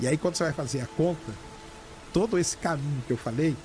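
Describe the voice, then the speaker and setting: Lively intonation marks this man's fairly high voice. His tone stays calm. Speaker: astronomy communicator. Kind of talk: interview answer.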